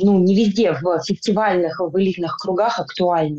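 A woman's medium-pitched voice, dark and mellow in tone, with ordinary pitch variation at a moderate pace. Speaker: film director. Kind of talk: casual interview. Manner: hesitant, many fillers.

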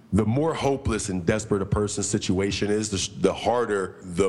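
A man with a fairly low pitch and ordinary pitch variation speaks in an ordinary speaking voice. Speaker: podcast co-host. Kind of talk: casual chat.

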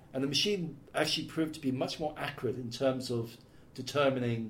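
A voice in a Welsh accent, with ordinary pitch variation, comes through with audible room echo. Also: man. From Wales. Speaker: tech company specialist. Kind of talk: casual chat.

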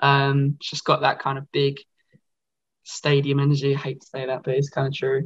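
In a dry, close sound with no echo, a man with an Essex accent talks at a moderate pace, his fairly high voice somewhat breathy. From Essex, England. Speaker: rock band frontman. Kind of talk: casual interview. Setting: video call. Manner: halting, many fillers.

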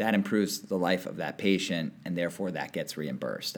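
With an American accent, a man talks at a fairly quick pace. His pitch is very deep and low. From Connecticut, West Hartford. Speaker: venture capital investor. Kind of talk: casual interview.

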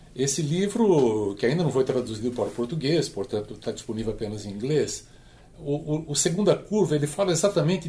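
Somewhat breathy and dark, mellow in tone, a man speaks at a moderate pace in a fairly high voice. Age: 70s. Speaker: work transition educator. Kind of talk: podcast panel discussion.

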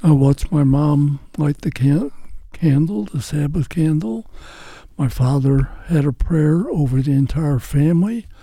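Somewhat breathy and dark, mellow in tone, a man with an American accent speaks at a fairly high pitch and a fairly slow pace with ordinary pitch variation. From St. Louis, US Midwest. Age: 90s. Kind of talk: interview telling testimony.

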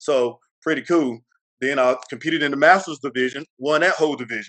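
In a Mississippi accent, a man talks at a fairly quick pace. The sound is dry and close with no echo. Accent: Southern US (Mississippi). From US South, Mississippi. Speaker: retired Marine and bodybuilder. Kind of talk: interview.

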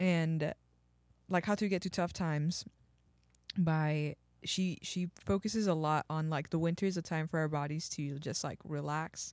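A woman's very deep, low voice in an American accent at a moderate pace, over a silent background in a very clean recording. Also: dry, close sound with no echo. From Texas. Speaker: podcast co-host. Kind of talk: casual chat.

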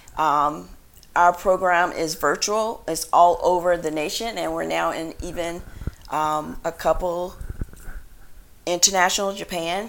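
Fairly low female voice at a fairly slow pace, with fairly even intonation and long, frequent pauses. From rural North Carolina. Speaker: health coach. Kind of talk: interview.

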